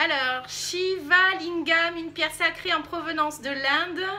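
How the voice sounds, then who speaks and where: The speaker is a woman. She raises and projects her voice. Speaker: YouTuber. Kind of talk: casual chat.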